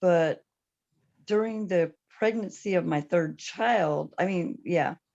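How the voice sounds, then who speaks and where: A woman speaks at a very slow pace in a dark, mellow tone. Her pitch varies in an ordinary way. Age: 60s. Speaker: panelist living with HIV. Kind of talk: testimony.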